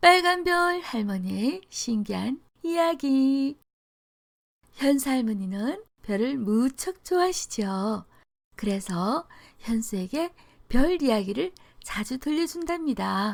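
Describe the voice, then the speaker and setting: In a very clean recording with a silent background, a woman with a high pitch talks very slowly, leaving long, frequent pauses. Her pitch swings very widely. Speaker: storyteller. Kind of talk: storybook narration.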